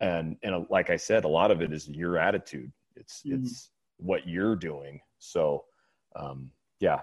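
A man talks at a fairly slow pace over a quiet background. His loudness rises and falls in big swings. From Bakersfield, California. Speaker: college football head coach. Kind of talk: casual chat.

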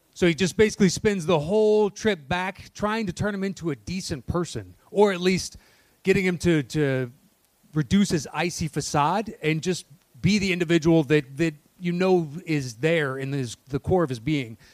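Ordinary pitch variation at a moderate pace. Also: man, high pitch for a man. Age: 40s. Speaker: podcast co-host. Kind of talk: live podcast taping, casual banter. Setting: stage with live audience.

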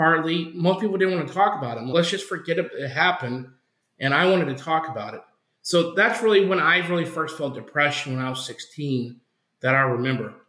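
In an American accent, a man speaks quickly at a high pitch with a bright, sharp tone and ordinary pitch variation, with audible room echo around him. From Oklahoma. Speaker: campus missionary, former pastor. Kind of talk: interview testimony.

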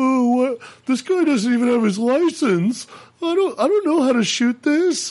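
This put-on character voice is high and shaky. It moves at a moderate pace. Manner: quivering, scared.

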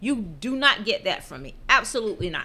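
A woman speaks in a raised, projected voice with a bright, sharp tone. The recording is very clean, with a silent background. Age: 40s. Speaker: podcast host's mother. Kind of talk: casual chat.

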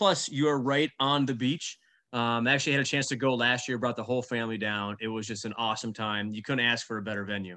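A man talks at a very fast pace, with a medium pitch and ordinary pitch variation. His tone is bright and sharp against a quiet background. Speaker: podcast host, firefighter. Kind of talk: casual interview.

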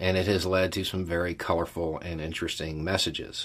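In a very clean recording with a silent background, a man with a Southern US accent speaks at a fairly slow pace in a very deep, low pitch. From US Deep South. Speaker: YouTube channel host. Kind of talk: monologue to camera, casual commentary. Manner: casual, conversational.

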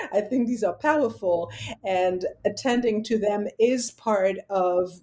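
A woman speaks with a French accent at a medium pitch. Her tone is dark and mellow, and her pitch varies in an ordinary way. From France. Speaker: literature professor. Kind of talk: academic interview.

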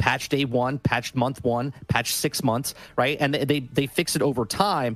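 With an ordinary speaking voice, a man talks at medium pitch and a fairly slow pace, keeping his loudness very even and his pitch variation ordinary. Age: 40s. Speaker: gaming content creator. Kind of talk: casual chat.

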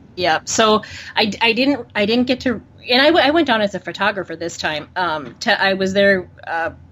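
With a plain, everyday voice, a woman talks at a fairly quick pace with lively intonation. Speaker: podcaster. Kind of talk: casual chat about football.

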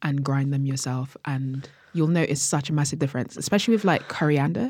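A woman's very deep, low, somewhat breathy voice at a fairly quick pace. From Jamaica, moved to UK at nine. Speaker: chef and cookbook author. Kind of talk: casual interview.

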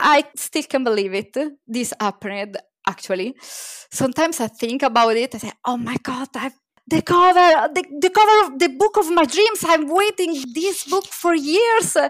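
With an Italian accent, a woman talks at a moderate pace in a high pitch with very wide pitch swings, the sound dry and close with no echo. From Italy. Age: 30s. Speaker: children's book illustrator. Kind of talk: casual interview chat.

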